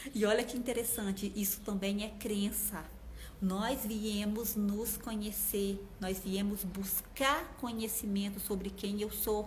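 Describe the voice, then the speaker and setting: The speech comes at a very slow pace with monotone, flat intonation. Audible room echo surrounds the voice. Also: woman, medium pitch for a woman. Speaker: numerology coach. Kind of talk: live stream talk. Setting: Instagram live.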